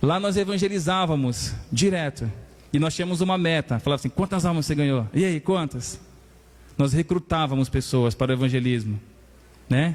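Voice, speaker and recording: A man speaks at a moderate pace in a fairly high pitch, with lively intonation and very even loudness. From Maranhão, northeastern Brazil. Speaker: pastor. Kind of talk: sermon.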